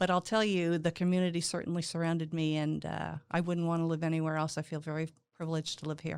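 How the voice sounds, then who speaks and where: Flat and monotone, a woman speaks very fast at a fairly low pitch with hardly any pauses. The recording is very clean, with a silent background. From Quebec, Canada (Montreal). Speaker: business founder and management consultant. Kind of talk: podcast interview. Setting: studio.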